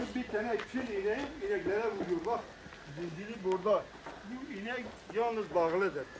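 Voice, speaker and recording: With noticeable background noise behind him, a man talks at a moderate pace in a high pitch, with lively intonation and long, frequent pauses. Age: 60s. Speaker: farmer. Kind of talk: news interview. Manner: halting.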